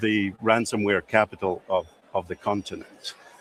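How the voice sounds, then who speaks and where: Over noticeable background noise, a man speaks in a monotone, flat way. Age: 60s. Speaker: cybersecurity expert. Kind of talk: interview. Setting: exhibition floor. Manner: halting.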